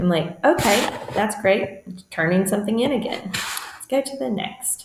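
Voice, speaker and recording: Lively intonation marks a woman's speech, heard over noticeable background noise. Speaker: teacher and edtech trainer. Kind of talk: screen-share tutorial. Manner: fast.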